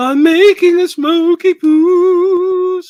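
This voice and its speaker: This is a put-on character voice that sounds female. Its pitch sits extremely high for a woman. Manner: mocking imitation.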